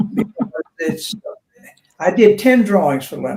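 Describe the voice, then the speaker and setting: Speaking in a Southern US accent, a man talks. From US South. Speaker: artist. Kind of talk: interview conversation. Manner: halting.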